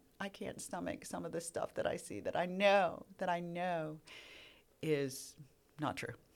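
Speaking in an unremarkable speaking voice, a woman keeps her pitch fairly low and its variation ordinary. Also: fairly slow pace. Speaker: earth science professor. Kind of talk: casual interview.

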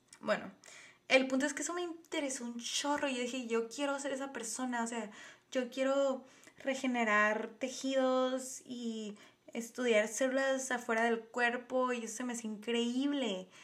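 With audible room echo around her, a woman speaks at a high pitch and fairly slow pace in an animated tone. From Tijuana, Baja California, Mexico. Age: 20s. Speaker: podcast host, biology researcher. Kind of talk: casual monologue.

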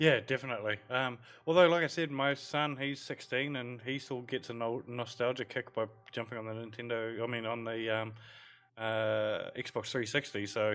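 A man's voice at medium pitch with fairly even intonation. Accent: New Zealand. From New Zealand. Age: 40s. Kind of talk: casual chat. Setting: video call.

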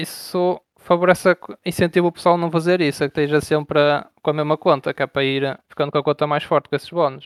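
Talking at a very fast pace, a man with a fairly high pitch uses monotone, flat intonation in a dry, close sound with no echo. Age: 20s. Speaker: online strategy game player. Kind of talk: casual interview. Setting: Discord voice call.

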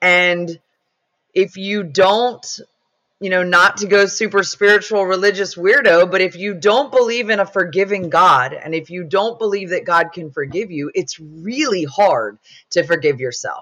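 Her tone is bright and sharp, a woman at medium pitch. She speaks at a fairly slow pace with ordinary pitch variation. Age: 40s. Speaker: pro-life advocate sharing personal testimony. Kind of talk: testimony.

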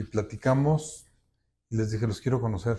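On a very clean recording with a silent background, a man speaks at a fairly slow pace and a fairly low pitch. His somewhat breathy voice has a dark, mellow tone and ordinary pitch variation. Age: 60s. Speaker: architect and road safety activist. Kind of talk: interview testimony.

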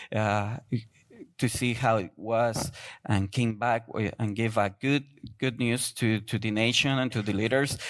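Over a very clean recording with a silent background, a man with a Spanish accent talks at a fairly slow pace at medium pitch with fairly even intonation. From Guatemala. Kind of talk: sermon. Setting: church. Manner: halting, non-native English.

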